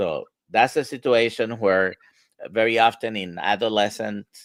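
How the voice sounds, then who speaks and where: Recorded dry and close with no echo, a man with an ordinary speaking voice speaks at a medium pitch and a fairly slow pace, his intonation fairly even. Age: 60s. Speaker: medical doctor, livestream host. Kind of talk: live Q&A discussion. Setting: livestream video call.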